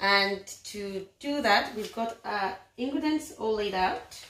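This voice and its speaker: Audible room echo surrounds a woman's voice. She speaks at a very slow pace with ordinary pitch variation. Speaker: home cook vlogger. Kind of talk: casual vlog chat. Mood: warm, calm. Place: kitchen. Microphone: phone near.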